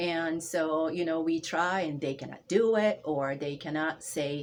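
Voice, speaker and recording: A woman with a Japanese accent speaks at a fairly slow pace, her pitch very deep and low and her intonation fairly even. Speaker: language instructor. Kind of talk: interview conversation. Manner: halting.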